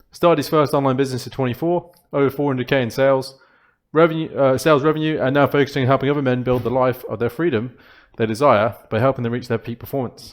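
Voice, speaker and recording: With a Birmingham accent, the speaker talks very fast, keeping the intonation fairly even. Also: man, medium pitch for a man. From Birmingham, England. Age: 20s. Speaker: poker coach. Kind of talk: tutorial.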